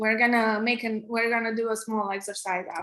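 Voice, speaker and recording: Here a woman talks at a fairly quick pace. She has a Romanian accent. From Romania, Transylvania. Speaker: app developer and tech co-founder teaching coding. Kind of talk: online coding workshop. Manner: halting with many restarts and fillers.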